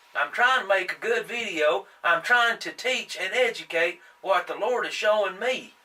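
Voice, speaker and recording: Noticeable noise sits behind a man with an American accent. His raised, projected voice is high in pitch. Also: ordinary pitch variation, moderate pace. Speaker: young-earth creationist video host. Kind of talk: impassioned monologue. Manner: halting, stumbling on words.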